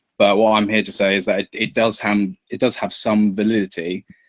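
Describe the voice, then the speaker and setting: A man with a southern English accent speaks at a very fast pace in a fairly low pitch, his intonation monotone and flat. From England. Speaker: YouTuber guest in political discussion. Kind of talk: casual debate.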